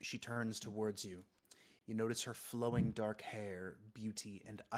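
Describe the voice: The text is read aloud plainly, the intonation staying fairly even.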